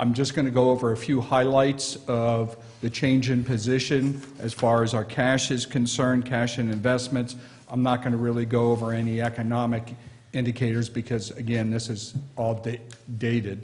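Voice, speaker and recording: Somewhat breathy, the voice holds a monotone, flat intonation at a moderate pace. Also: man. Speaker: presenter. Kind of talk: formal report presentation. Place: meeting room.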